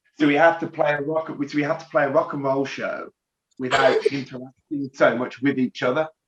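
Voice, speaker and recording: Speaking at a fairly quick pace in a Birmingham accent, a man keeps a fairly high pitch and fairly even intonation. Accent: Birmingham (Brummie) English. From Birmingham area, England. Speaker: rock band lead singer. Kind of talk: casual interview.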